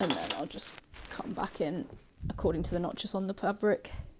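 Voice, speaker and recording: With a British accent, a woman speaks fairly quickly at a medium pitch with ordinary pitch variation. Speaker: sewing channel host helping a beginner. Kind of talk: casual chat during live sewing stream. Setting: live stream. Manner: loud.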